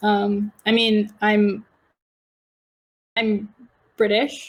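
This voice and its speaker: This woman's voice sits at a medium pitch. She has an American accent. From Washington DC, US. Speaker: public relations professional. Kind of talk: casual chat.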